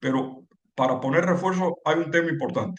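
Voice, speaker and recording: The voice is a man's. He uses ordinary pitch variation. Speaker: civil engineering lecturer. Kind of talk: lecture. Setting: webinar. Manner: halting with repetitions.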